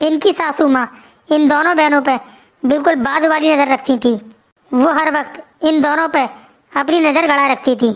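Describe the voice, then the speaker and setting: Using a cartoonish character voice, a woman speaks with high pitch and very even loudness at a moderate pace, with long, frequent pauses. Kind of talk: storytelling narration.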